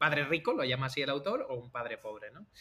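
This man talks at a fairly quick pace in an ordinary speaking voice, his pitch fairly high. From Andalusia, Algeciras (Cádiz). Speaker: podcast host, software engineer. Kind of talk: casual chat.

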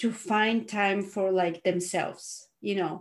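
A woman is talking. There is a somewhat breathy quality to her voice. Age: 40s. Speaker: podcast host. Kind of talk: casual interview chat.

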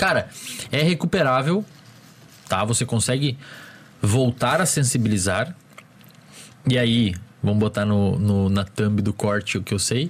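The man's voice is somewhat breathy, with lively intonation and very even loudness. He goes at a fairly slow pace with long, frequent pauses. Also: medium pitch for a man. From small town in the Brazilian interior. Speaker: psychologist. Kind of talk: casual chat.

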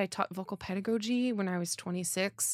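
A woman with an American accent uses an ordinary speaking voice at medium pitch, with ordinary pitch variation and a moderate pace, in a dry, close sound with no echo on a very clean recording with a silent background. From US Northeast (New Jersey). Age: 30s. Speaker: opera singer. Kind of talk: interview. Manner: cheerful, laughs often.

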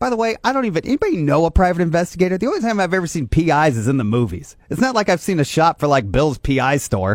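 In an American accent, a speaker races at a very fast pace with hardly any pauses and very wide pitch swings, the sound dry and close with no echo. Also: man, high pitch for a man. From northeast Indiana. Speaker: morning radio host. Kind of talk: morning radio chat. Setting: radio studio.

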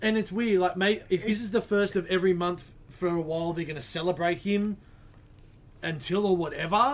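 In an Australian accent, the speaker goes at a fairly quick pace with ordinary pitch variation. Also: man. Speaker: comic shop podcast co-host. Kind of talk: casual chat. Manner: mumbles.

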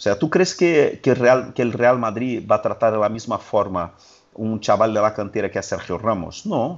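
A man with a Portuguese accent and lively intonation. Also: medium pitch for a man, moderate pace. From Brazil. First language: Portuguese (speaking Spanish). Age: 40s. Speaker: sports journalist. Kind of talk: casual chat.

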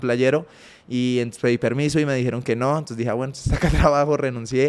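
A man's medium-pitched voice at a very fast pace, with monotone, flat intonation. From Colombia, Ibagué. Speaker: former athlete, entrepreneur. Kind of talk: interview conversation.

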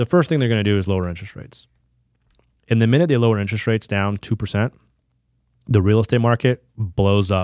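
A man with a fairly low voice talks at a very fast clip, broken by long, frequent pauses, his pitch moving in an ordinary way over a very clean, dry, close recording with a silent background and no echo. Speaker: financial advisor. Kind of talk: casual interview. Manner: well-spoken.

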